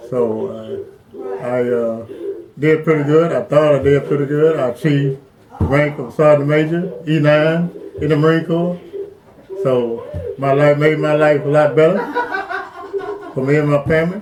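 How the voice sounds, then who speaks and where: Against noticeable background noise, a man with a fairly high pitch talks at a moderate pace with ordinary pitch variation, leaving long, frequent pauses. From Arkansas, US South. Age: 70s. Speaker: retired Marine veteran. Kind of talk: life story interview.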